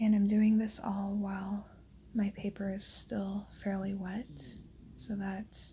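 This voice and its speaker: The speaker is soft-spoken, with a calm tone, a very slow pace and flat, monotone intonation. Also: woman. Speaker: watercolor artist and tutorial host. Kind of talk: soft-spoken ASMR painting tutorial narration. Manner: soft-spoken, calm.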